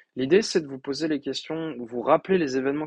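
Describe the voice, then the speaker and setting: In a dry, close recording with no echo, a man speaks at a fairly quick pace. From France. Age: 20s. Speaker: podcast host and coach. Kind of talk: solo podcast monologue. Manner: hesitant with frequent fillers.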